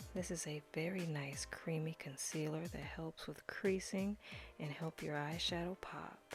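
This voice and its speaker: A woman speaks with vocal fry at a very deep, low pitch. Her delivery is fairly slow with fairly even intonation. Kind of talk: makeup tutorial talking to camera. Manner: instructional, casual, friendly.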